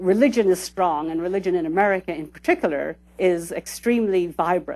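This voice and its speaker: A woman at a fairly quick pace. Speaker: sociologist lecturer. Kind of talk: lecture. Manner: fast.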